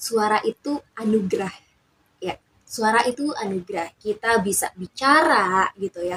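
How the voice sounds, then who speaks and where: Here a woman speaks at a fairly high pitch with ordinary pitch variation and a moderate pace. The sound is dry and close, with no echo. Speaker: YouTuber, communication student. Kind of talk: casual vlog talk.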